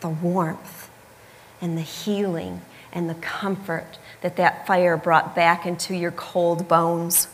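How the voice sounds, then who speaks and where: A woman with a Midwestern accent speaks at a fairly low pitch and a very slow pace. Noticeable background noise is present. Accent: American Midwest. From US Midwest, Michigan. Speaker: preacher. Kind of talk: sermon.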